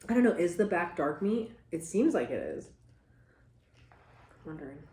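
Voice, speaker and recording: Somewhat breathy and fairly low-pitched, a woman speaks with lively intonation against audible room echo. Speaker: mukbang vlogger. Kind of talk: casual chat while eating. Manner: animated.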